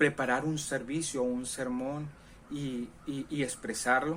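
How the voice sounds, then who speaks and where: Very slow speech from a man with a fairly high pitch, in audible room echo. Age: 40s. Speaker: pastor. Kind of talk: sermon.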